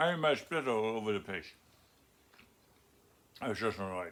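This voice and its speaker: A man's put-on character voice, mumbled at a moderate pace and medium pitch with lively intonation. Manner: mumbled, hard to understand.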